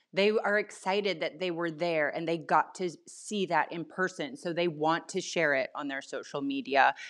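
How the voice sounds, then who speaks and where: Using an unremarkable speaking voice, a woman talks at a moderate pace, fairly low in pitch, with ordinary pitch variation. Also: hardly any pauses. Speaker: marketing agency co-founder. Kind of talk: podcast interview.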